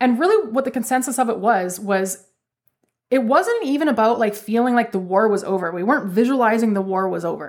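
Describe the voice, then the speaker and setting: A woman with a Canadian accent, fairly high-pitched, talking very fast with lively intonation. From Canada. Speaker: spiritual podcast host. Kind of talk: solo podcast monologue.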